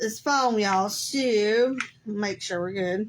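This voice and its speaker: This is a woman's voice. She speaks with a Southern US accent. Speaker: crafter. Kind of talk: live craft tutorial. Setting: Facebook live stream. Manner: casual, chatty.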